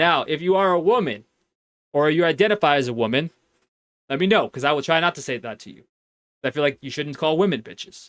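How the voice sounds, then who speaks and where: Speaking very fast with an American accent, a man at fairly high pitch uses lively intonation, big swings in loudness and long, frequent pauses, all in a dry, close sound with no echo. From Miami, Florida. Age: 30s. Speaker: streamer. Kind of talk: live stream chat. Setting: walk-in closet. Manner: animated.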